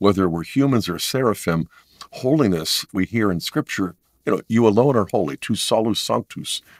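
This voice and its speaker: A man's ordinary speaking voice at medium pitch, with lively intonation and a moderate pace, dry and close with no echo on a very clean recording with a silent background. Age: 60s. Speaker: theology professor and author. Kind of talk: interview conversation.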